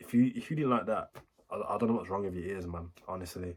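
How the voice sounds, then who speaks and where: A man talks at a very fast pace in a Birmingham accent. His voice is somewhat breathy, with ordinary pitch variation. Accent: Birmingham (Brummie) English. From Birmingham, England. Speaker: music reaction YouTuber. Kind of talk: casual reaction commentary. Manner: animated.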